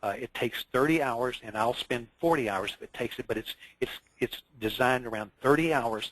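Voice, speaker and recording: A man speaks in a plain, everyday voice at a medium pitch and a moderate pace. The sound is dry and close, with no echo. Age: 60s. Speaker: insurance consultant. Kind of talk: interview.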